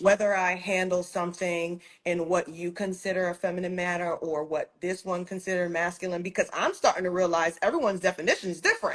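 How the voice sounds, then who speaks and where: A woman rattles along at a very fast pace with hardly any pauses, her medium pitch held in a monotone, flat intonation. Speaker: entrepreneur. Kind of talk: casual interview chat. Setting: Instagram livestream. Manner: direct, declarative, no upspeak; firm, even tone.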